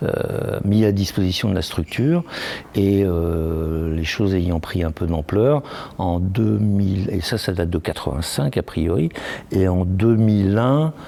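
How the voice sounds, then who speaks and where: A man talks very slowly in a very deep, low pitch with ordinary pitch variation. Noticeable background noise runs underneath. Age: 60s. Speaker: association president. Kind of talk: interview. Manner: halting.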